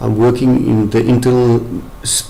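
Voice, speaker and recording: A man with a South African accent at a medium pitch, amid noticeable background noise and audible room echo. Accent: Afrikaans-accented English. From South Africa, Afrikaans town in the Free State. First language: Afrikaans. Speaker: medical professional, brain injury survivor. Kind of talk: testimony. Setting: webcam presentation. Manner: halting.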